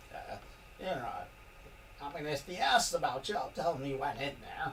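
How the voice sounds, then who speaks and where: Against clear background noise, a man puts on a character voice. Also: moderate pace. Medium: actual play. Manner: nervous, hurried.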